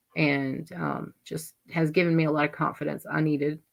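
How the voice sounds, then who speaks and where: In a Southern US accent, a woman speaks at a fairly slow pace with a very deep, low pitch and vocal fry. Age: 40s. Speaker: livestream host. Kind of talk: casual chat.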